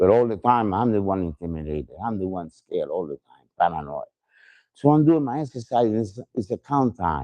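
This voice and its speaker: In a Spanish accent, a man speaks with a dark, mellow tone and lively intonation, in a dry, close sound with no echo over a quiet background. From Puerto Rico. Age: 70s. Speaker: exonerated death row survivor. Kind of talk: testimony. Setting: outdoors at a rally.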